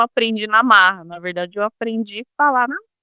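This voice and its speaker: A woman with lively intonation talks at a fairly quick pace, in a dry, close sound with no echo. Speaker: former telemarketing saleswoman, customer service trainer. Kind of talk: casual interview chat. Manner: halting, with restarts and fillers.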